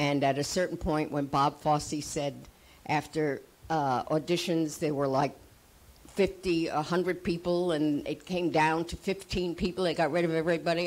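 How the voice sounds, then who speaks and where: A woman talks in a fairly low pitch with fairly even intonation. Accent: New York. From US Northeast, New York City (Manhattan). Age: 80s+. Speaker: actress and acting teacher. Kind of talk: panel talk.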